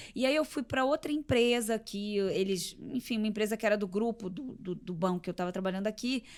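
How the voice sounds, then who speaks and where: Here is a woman with a plain, everyday voice and a fairly high pitch. She moves at a moderate pace with ordinary pitch variation. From Rio de Janeiro, Brazil. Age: 40s. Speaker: entrepreneur and athlete guest. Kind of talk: casual interview.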